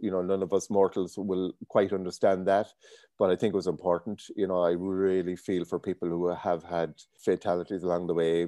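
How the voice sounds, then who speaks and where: In an Irish accent, a man speaks at a moderate pace in a very deep, low, flat monotone with a dark, mellow tone. The sound is dry and close with no echo, over a quiet background. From Ireland, County Leitrim. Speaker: business owner. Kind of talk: interview.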